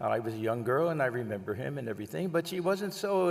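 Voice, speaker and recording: A man with an American accent speaks at a fairly quick pace and fairly high pitch. His intonation is lively, and audible room echo can be heard. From US Northeast, Long Island area. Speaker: monk giving a talk. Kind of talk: lecture.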